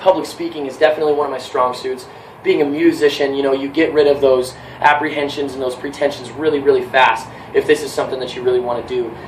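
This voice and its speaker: A man with an American accent talks at a very fast pace, his pitch fairly high and his intonation fairly even. Audible room echo and noticeable background noise surround him. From California. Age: 20s. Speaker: job applicant and musician. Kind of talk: job application video with mock sales pitch.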